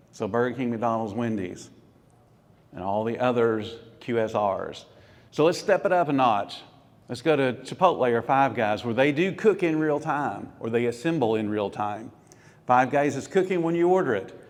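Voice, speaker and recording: In an audible room echo, a man talks in an animated tone with lively intonation. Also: medium pitch for a man, moderate pace. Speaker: food business speaker. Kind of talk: conference presentation.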